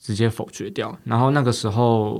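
Over a silent background in a very clean recording, a man speaks at a medium pitch. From Taiwan, Taipei. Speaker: county councillor. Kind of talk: interview.

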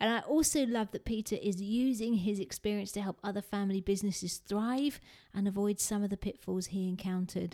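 In a British accent, this dark, mellow voice moves at a fairly quick pace with ordinary pitch variation. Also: woman, medium pitch for a woman. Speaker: podcast host and speaking coach. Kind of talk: podcast intro and interview.

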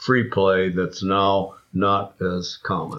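This is a man speaking. His pitch sits fairly low. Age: 80s+. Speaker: researcher and author on play. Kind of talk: casual interview conversation.

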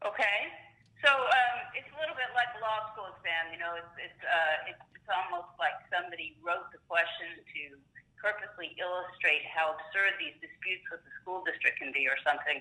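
A woman at a medium pitch and moderate pace, with very wide pitch swings, big shifts in loudness and noticeable background noise. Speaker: special education attorney. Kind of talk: expert Q&A interview.

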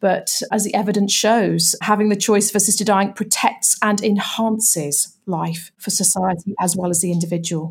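A somewhat breathy woman with a British accent, fairly even intonation and hardly any pauses. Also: medium pitch for a woman, moderate pace. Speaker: campaigner and author. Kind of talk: interview.

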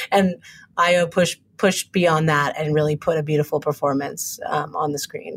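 Somewhat breathy speech at a moderate pace with fairly even intonation. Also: woman, very deep, low pitch for a woman. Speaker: TV writer and director. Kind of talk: casual interview conversation. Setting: video call.

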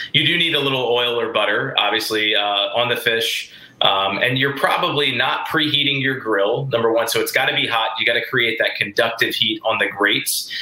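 With an American accent, a man talks at a fairly quick pace with hardly any pauses, while audible room echo and noticeable background noise come through. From US South. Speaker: chef. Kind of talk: casual chat.

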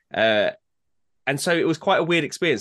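A man with an English accent talks at a fairly quick pace, his pitch swinging very widely. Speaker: podcast co-host. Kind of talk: casual chat. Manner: fast.

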